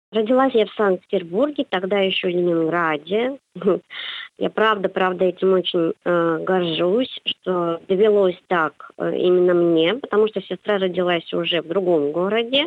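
A woman with a normal speaking voice, medium pitch and ordinary pitch variation, at a fairly slow pace. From St Petersburg, Russia. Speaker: psychologist and university lecturer. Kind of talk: radio interview. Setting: phone call.

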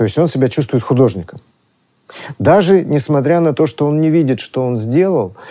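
A man's fairly high, dark, mellow voice with lively intonation and long, frequent pauses. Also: moderate pace. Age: 40s. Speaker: art historian. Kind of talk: lecture. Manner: sing-song.

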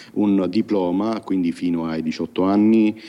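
A man with a very deep, low pitch talks very slowly while background noise is noticeable. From Sicily, province of Siracusa. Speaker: blind software developer. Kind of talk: interview.

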